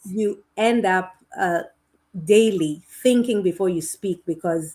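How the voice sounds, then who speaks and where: In a Kenyan accent, the speaker talks at a very slow pace with long, frequent pauses and ordinary pitch variation. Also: woman. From Kenya and Uganda. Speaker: educator. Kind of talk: podcast interview. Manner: halting, with frequent repetitions.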